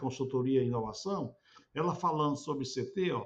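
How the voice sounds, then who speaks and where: A man talks at a moderate pace in a medium-pitched voice. His pitch varies in an ordinary way, and his delivery is somewhat breathy. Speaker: researcher explaining a chart to a professor. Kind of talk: explanatory screen walkthrough. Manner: halting, many repetitions.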